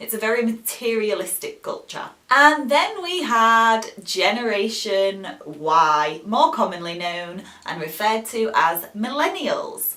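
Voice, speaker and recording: Very wide pitch swings at a fairly slow pace, in a British accent. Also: woman, fairly high pitch for a woman. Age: 30s. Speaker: English teacher. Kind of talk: educational talk to camera.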